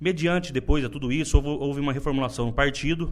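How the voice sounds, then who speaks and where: A man talks at a fairly high pitch. His voice has vocal fry. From Brazil, interior of São Paulo state (Buritama). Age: 30s. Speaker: politician, party leader. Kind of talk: interview. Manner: halting, many repetitions.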